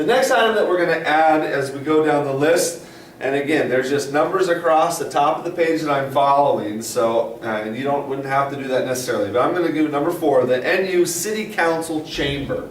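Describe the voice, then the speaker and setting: A man speaks fairly quickly at a fairly high pitch, with lively intonation and hardly any pauses. Audible room echo and noticeable background noise fill the recording. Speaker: science teacher. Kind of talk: tutorial. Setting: classroom with interactive whiteboard. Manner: fast.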